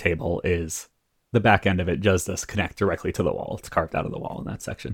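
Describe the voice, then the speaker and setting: Somewhat breathy, the man talks at a fairly quick pace. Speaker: game master and podcast host. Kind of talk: tabletop roleplaying actual play, casual chat.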